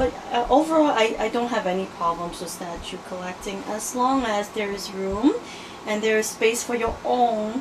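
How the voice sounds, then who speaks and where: A woman talks at a moderate pace with ordinary pitch variation. Noticeable background noise is present. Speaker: interviewee. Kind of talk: interview answer. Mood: friendly, good-humored. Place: home room. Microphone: phone near.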